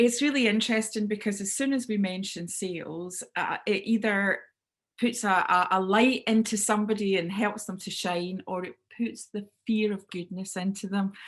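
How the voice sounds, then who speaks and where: Speaking with a Scottish accent, a woman keeps a medium pitch, a moderate pace and fairly even intonation. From Scotland, Clydebank near Glasgow. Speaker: business speaker and sales trainer. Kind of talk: webinar talk. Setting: video call. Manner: loud.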